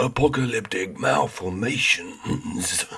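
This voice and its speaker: A put-on character voice from a man, at a fairly slow pace and a medium pitch. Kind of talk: theatrical narration. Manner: dramatic, ominous.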